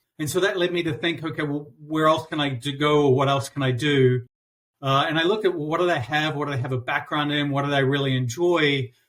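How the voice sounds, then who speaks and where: Talking at a very fast pace, a man with a New Zealand accent keeps a fairly high pitch and fairly even intonation. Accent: New Zealand accent, noticeable. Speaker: customer experience consultant. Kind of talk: interview. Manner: halting, many fillers and repeats.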